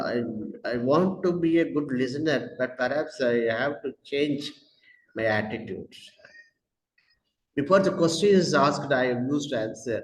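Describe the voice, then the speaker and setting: With a Tamil Indian accent, the speaker talks at a fairly slow pace, using lively intonation and long, frequent pauses. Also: man, medium pitch for a man. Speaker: educator with doctorate in English. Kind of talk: interview. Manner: halting, many fillers.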